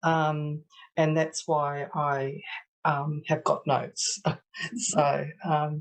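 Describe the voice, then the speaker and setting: At a very slow pace, a woman with an Australian accent speaks in a very deep, low pitch. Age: 60s. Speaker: stroke survivor with aphasia. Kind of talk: testimony. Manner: halting, many hesitations.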